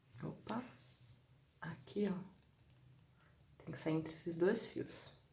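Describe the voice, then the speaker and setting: Somewhat breathy and very slow, the voice has ordinary pitch variation and long, frequent pauses. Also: woman. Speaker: crochet instructor. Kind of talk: live-stream tutorial. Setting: live stream.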